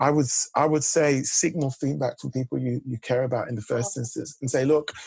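Against a quiet background with a dry sound and no echo, a man talks at a fairly quick pace in a somewhat breathy voice with fairly even intonation. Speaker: executive coach. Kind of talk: interview answer. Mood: warm, reflective. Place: home room. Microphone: video call.

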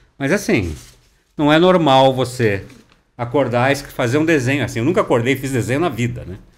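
A man at a medium pitch with vocal fry, lively intonation and a fairly quick pace. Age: 60s. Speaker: overland traveler; podcast guest. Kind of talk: interview. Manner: conversational, filler-heavy. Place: studio. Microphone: studio mic.

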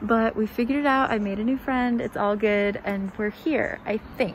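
A woman at a moderate pace, her pitch fairly high. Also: fairly even intonation.

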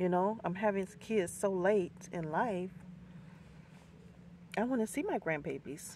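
With lively intonation and vocal fry, a woman speaks fairly slowly at a fairly low pitch.

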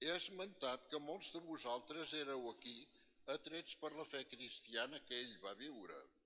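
A man's bright, sharp tone at a fairly slow pace, with ordinary pitch variation and light background noise. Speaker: priest giving homily. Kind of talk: sermon. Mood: solemn, respectful. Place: church. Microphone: podium.

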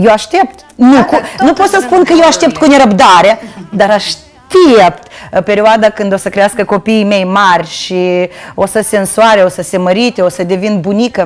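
Lively intonation marks a woman speaking at a moderate pace. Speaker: guest. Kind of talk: interview answer. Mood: cheerful, nostalgic. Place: studio. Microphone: lapel.

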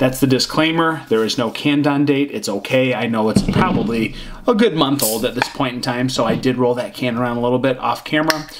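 Over noticeable background noise, a man talks at a fairly quick pace with hardly any pauses and ordinary pitch variation. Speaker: beer reviewer. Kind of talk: casual vlog chat. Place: home room.

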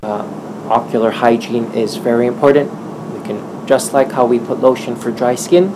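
A man talks with ordinary pitch variation. Noticeable background noise sits behind him. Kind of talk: interview answer. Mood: friendly, smiling.

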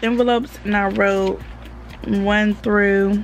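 A woman speaks at a medium pitch. Her voice has vocal fry.

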